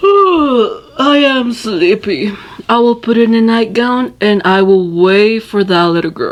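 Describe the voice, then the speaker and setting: A cartoonish character voice that sounds female speaks at a fairly slow pace in a fairly high pitch. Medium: puppet show. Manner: sly, mock-sweet.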